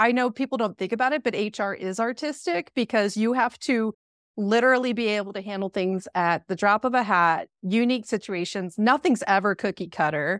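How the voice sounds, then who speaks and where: In a very clean, dry, close recording with a silent background and no echo, a woman with an American accent and a normal speaking voice talks at a fairly quick pace with hardly any pauses, her fairly high pitch showing ordinary variation. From central Pennsylvania. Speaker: HR leader. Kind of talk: interview.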